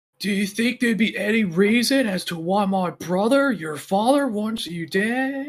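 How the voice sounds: Using a put-on character voice, a man speaks at a high pitch and a moderate pace. He hardly pauses at all.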